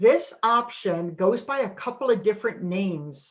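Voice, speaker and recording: A woman with a New England accent speaks at a fairly slow pace with lively intonation. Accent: New England, non-Texas. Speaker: financial services presenter. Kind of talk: webinar presentation.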